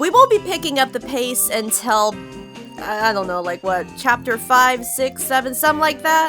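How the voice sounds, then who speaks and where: A woman speaks at a high pitch with lively intonation and a moderate pace. Music plays in the background. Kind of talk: casual talk to camera. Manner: casual.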